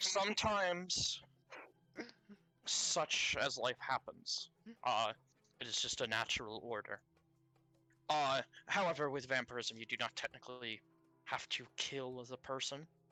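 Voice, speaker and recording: Over background music, a put-on character voice at a low-to-middle pitch moves at a moderate pace with long, frequent pauses. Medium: actual play. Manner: formal, avoids contractions, earnest.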